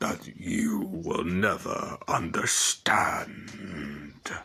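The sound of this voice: In a gruff put-on character voice, a man speaks with a menacing tone.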